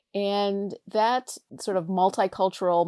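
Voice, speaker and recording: A woman's voice has a dark, mellow tone and fairly even intonation. The recording is very clean with a silent background, and the sound is dry and close with no echo. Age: 60s. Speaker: professor and oral historian. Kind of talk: interview.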